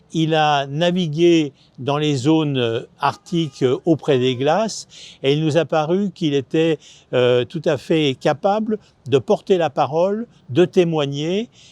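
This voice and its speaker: A man with a fairly high pitch and ordinary pitch variation is recorded with a dry, close sound with no echo against a quiet background. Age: 60s. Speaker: foundation president. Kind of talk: video presentation. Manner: hesitant with many filler sounds.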